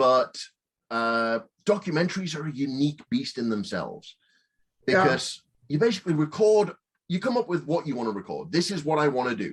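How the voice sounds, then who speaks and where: A man with a Northern English accent speaks at a fairly quick pace. His fairly high voice moves through very wide pitch swings. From Northern England. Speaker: film director, producer and writer. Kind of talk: interview answer.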